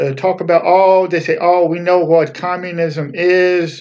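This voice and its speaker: A man's high-pitched voice moves at a moderate pace. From Poland. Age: 40s. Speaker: author and YouTuber. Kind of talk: personal talk to camera. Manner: halting, with many fillers and restarts.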